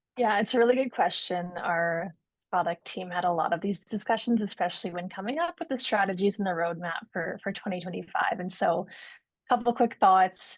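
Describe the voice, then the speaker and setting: A woman speaks at a medium pitch and a fairly quick pace. The background is quiet. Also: ordinary pitch variation. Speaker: product manager. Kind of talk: webinar Q&A answer.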